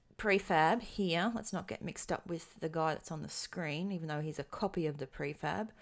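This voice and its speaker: A woman's fairly low voice with an Australian accent, ordinary pitch variation and hardly any pauses, in a very clean recording with a silent background. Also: moderate pace. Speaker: programming tutorial instructor. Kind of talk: tutorial. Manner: hesitant, many filler ums.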